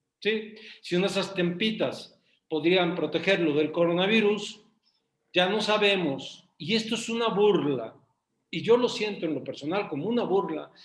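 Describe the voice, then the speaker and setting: A man's high voice in a Mexican accent, at a fairly slow pace. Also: ordinary pitch variation. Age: 60s. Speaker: business association member. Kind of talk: casual chat. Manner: animated.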